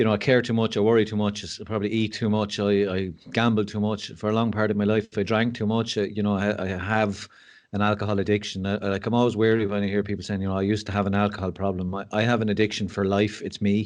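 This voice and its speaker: Flat and monotone, a man talks very fast at a fairly low pitch. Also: quiet background. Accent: Irish. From Ireland. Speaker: mental health speaker and school assistant principal. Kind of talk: podcast interview.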